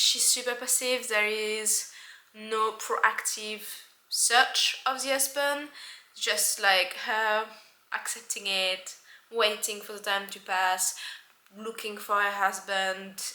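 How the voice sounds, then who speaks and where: Speaking at a very slow pace with a French accent, a woman uses a fairly high pitch, ordinary pitch variation and big swings in loudness. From France. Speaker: book vlogger. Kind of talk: casual book review monologue. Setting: at home by window.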